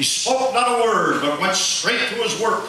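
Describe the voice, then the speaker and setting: A man is speaking. Background noise can be clearly heard. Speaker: radio DJ. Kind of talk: poetry reading. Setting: live theatre stage.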